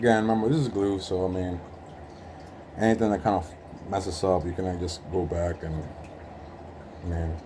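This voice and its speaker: In a room with audible echo, a man with a very deep, low pitch talks at a fairly quick pace, broken by long, frequent pauses. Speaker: hobbyist sneaker restorer. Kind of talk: tutorial. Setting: working at home. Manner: monotone; casual with frequent fillers.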